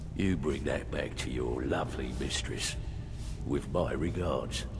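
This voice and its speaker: A man's put-on character voice at a fairly slow pace over loud background noise. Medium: machinima. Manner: folksy, sly, drops into slang.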